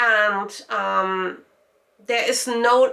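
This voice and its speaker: Speaking in a German accent, a woman talks at a very slow pace with fairly even intonation. Her pitch is fairly high and her tone bright and sharp. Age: 40s. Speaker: lifestyle vlogger. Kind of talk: personal vlog monologue. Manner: hesitant, many fillers.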